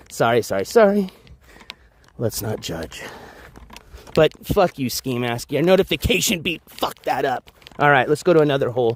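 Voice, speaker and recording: A loud man with a fairly high pitch speaks at a moderate pace, with very wide pitch swings and long, frequent pauses. The sound is dry and close with no echo, though noticeable background noise comes through. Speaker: IRL livestreamer. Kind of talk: live stream vlog.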